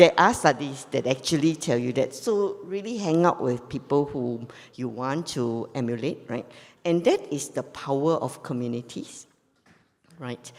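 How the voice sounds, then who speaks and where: Her pitch very deep and low, a woman speaks at a moderate pace with lively intonation. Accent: Singaporean. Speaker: forum panelist. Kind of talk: panel discussion.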